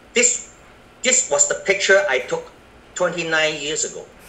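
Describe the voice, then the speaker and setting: A man talks with audible room echo. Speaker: network marketing business presenter. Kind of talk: business presentation. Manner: slow; halting.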